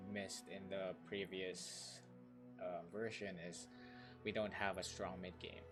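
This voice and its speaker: With music in the background, a man speaks at a fairly slow pace, his pitch fairly low with ordinary pitch variation. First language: not English. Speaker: gamer. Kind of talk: casual gameplay commentary.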